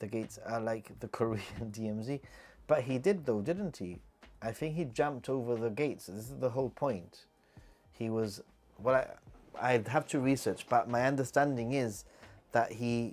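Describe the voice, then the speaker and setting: A man with a British accent speaks at a moderate pace and medium pitch, with ordinary pitch variation. He takes long, frequent pauses while music plays in the background. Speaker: YouTuber. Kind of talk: livestream chat Q&A. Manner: casual, halting with repetitions.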